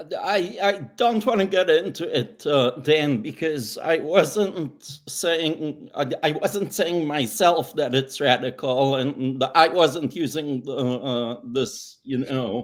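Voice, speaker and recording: With lively intonation and hardly any pauses, a man with a non-native accent talks at a very slow pace in a fairly high pitch. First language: not English. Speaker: privacy lawyer. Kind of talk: panel discussion.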